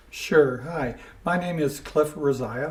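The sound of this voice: A man with a fairly high voice and a slightly mellow tone talks at a slow pace with ordinary pitch variation, and audible room echo surrounds him.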